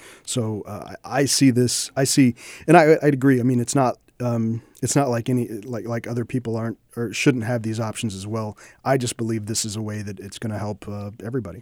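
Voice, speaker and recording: A man speaks at a fairly quick pace, his medium pitch held to a fairly even intonation. His loudness swings widely, on a very clean recording with a silent background. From Independence, Missouri, US Midwest. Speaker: state legislator and lawyer. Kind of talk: interview. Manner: halting, many restarts.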